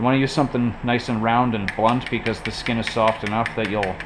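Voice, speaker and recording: Noticeable background noise sits behind a man speaking at a fairly quick pace. His pitch is medium and his intonation monotone and flat. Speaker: woodcarving hobbyist. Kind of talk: casual tutorial talk to camera. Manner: casual, salty language.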